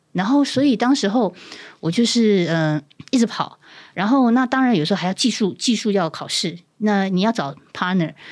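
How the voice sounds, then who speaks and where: A woman speaks at a fairly quick pace and medium pitch, her voice swinging very widely in pitch, on a very clean recording with a silent background. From southern Taiwan, Pingtung. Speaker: former TV news anchor turned nurse. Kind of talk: casual interview chat. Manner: clear precise enunciation.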